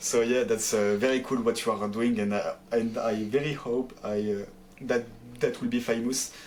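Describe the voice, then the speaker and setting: A man talks with a French accent at a medium pitch. His pace is moderate and his intonation monotone and flat. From France. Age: 20s. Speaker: pro esports player. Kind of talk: interview. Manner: halting, many fillers.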